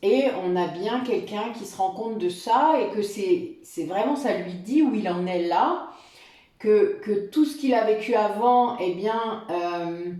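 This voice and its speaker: At a very slow pace, a voice with a dark, mellow tone and lively intonation rings with audible room echo. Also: woman, fairly high pitch for a woman. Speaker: tarot reader and spiritual guide. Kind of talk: tarot reading guidance. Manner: halting, many fillers.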